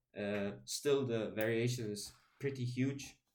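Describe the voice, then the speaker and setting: A man's monotone, flat delivery carries audible room echo. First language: German. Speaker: YouTuber talking about linguistics. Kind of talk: casual video monologue. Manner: halting, many fillers and restarts.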